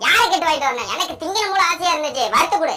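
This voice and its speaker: A cartoonish character voice at an extremely high pitch rattles along at a very fast pace, with faint music in the background. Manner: grumbling, bantering.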